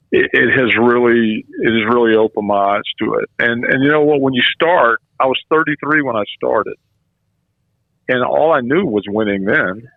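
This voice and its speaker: A man talks in a normal speaking voice at a moderate pace. His loudness stays very even and his pitch varies in an ordinary way. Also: medium pitch for a man. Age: 60s. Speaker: former college baseball coach. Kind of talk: radio interview.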